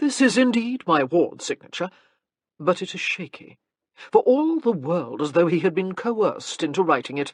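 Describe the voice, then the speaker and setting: A drawling put-on character voice at middle pitch and a moderate pace. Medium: read story. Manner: bored, drawling, unhurried.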